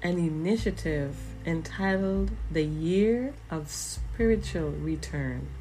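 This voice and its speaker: A woman with an American accent speaks at a very slow pace, her voice carrying audible room echo. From US Virgin Islands (St. Croix). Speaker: minister, podcast host. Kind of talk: spiritual monologue.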